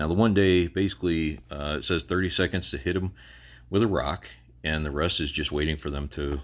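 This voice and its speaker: With vocal fry and a very deep, low pitch, a man speaks at a moderate pace using ordinary pitch variation. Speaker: gaming YouTuber. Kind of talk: game walkthrough tutorial. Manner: occasional stutter; casual, hesitant with fillers.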